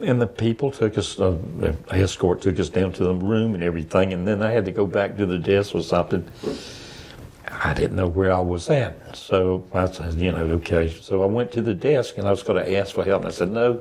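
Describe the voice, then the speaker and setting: Over noticeable background noise, a man with a Southern US accent talks at a fairly quick pace in a very deep, low pitch with ordinary pitch variation. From US South (Savannah, Georgia). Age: 70s. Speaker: retired veteran, blind resident. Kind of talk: interview conversation. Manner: halting.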